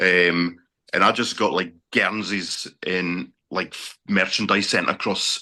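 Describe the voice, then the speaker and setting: Very deep and low in pitch, a man speaks at a very slow pace. His tone is bright and sharp, with monotone, flat intonation. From Scotland. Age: 40s. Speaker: sports fan, bus driver. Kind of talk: casual interview.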